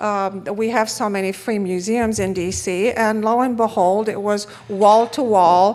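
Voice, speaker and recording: A fairly high-pitched woman with a Romanian accent, at a fairly slow pace with ordinary pitch variation. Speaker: retired economics professor. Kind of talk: conference talk.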